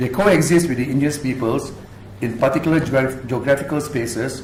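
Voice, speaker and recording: A man talks at a very fast pace with a medium pitch and ordinary pitch variation. Noticeable background noise and audible room echo surround his voice. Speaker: activist and researcher. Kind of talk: public talk presentation. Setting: university lecture room with audience.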